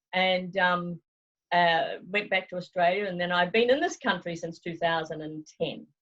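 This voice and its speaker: At a moderate pace, a woman speaks with a New Zealand accent, a fairly low pitch and fairly even intonation. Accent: New Zealand accent, noticeable. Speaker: travel consultant. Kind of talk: interview. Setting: video call.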